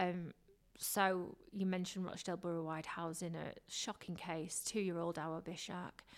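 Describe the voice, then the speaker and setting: A fairly low-pitched woman's voice with a Lancashire accent at a moderate pace, on a very clean recording with a silent background. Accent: Lancashire northern English. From Blackburn, northern England. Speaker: radio presenter and TV reporter. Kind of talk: casual interview chat. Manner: animated, chatty.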